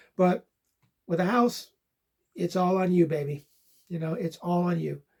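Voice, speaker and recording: At a moderate pace, a man speaks. His pitch is high, and his intonation fairly even. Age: 60s. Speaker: online reseller and channel host. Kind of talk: casual vlog talk. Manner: casual, hesitant with fillers.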